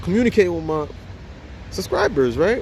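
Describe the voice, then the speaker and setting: A man's voice makes very wide pitch swings. There is noticeable background noise. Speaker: motivational YouTuber. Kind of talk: motivational vlog monologue. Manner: halting, repetitive; casual, energetic.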